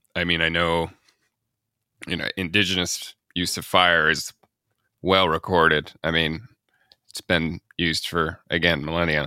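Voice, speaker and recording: A man with an American accent, very deep, low pitch, and monotone, flat intonation, a bright, sharp tone, a fairly slow pace with long, frequent pauses, in a dry, close sound with no echo on a very clean recording with a silent background. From US Midwest. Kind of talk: casual interview conversation.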